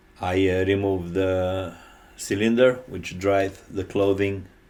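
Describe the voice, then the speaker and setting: A man with a Romanian accent speaks at a very slow pace, his very deep, low pitch flat and monotone. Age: 50s. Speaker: electrician and HVAC technician. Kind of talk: tutorial. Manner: halting.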